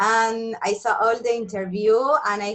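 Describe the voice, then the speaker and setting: A woman with a Spanish accent speaks at a fairly slow pace. Her intonation stays fairly even. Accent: non-native English, Spanish speaker. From Argentina. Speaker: nutritionist. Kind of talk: interview.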